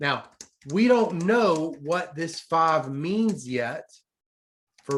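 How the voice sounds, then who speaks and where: Speech comes at a very slow pace in a strong Southern US accent. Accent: thick US Southern. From US South. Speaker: economics professor. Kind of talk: lecture. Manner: slow, deliberate.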